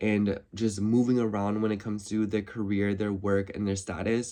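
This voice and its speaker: A man speaks quietly at a fairly quick pace. His fairly low voice stays flat and monotone. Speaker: astrology YouTuber. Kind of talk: horoscope reading, casual monologue. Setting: in her room. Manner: casual, filler-heavy (like, so it's like); talking a little quietly.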